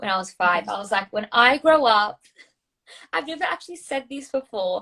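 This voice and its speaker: Fairly high-pitched woman with an Australian accent, a bright, sharp tone, very wide pitch swings, big swings in loudness and a moderate pace. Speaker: social media coach. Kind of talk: casual interview.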